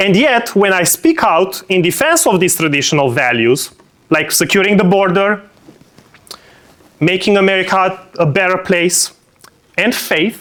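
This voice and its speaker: The man's lively intonation and high pitch come with noticeable background noise behind him. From Romania. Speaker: political speaker. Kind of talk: speech.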